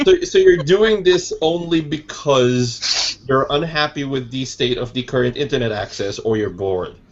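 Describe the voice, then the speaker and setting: A man's fairly high voice with lively intonation at a moderate pace, hardly any pauses, over noticeable background noise. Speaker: podcast host. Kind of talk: casual chat. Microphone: connection cutting out.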